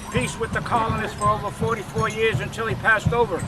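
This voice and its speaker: A man with an American accent and a high pitch talks at a fairly quick pace with fairly even intonation. Music plays in the background. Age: 70s. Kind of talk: personal testimony and oral history. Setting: outdoors at a powwow.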